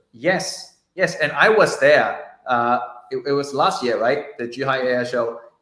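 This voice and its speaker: The room echo is audible. A man talks at a fairly slow pace. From China. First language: Chinese. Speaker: journalist. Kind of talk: casual livestream interview.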